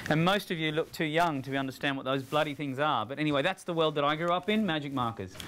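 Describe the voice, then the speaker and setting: Over noticeable background noise, a man with an Australian accent speaks at a very fast pace. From Australia, rural country town. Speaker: digital trends speaker. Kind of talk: talk to students. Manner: casual and humorous.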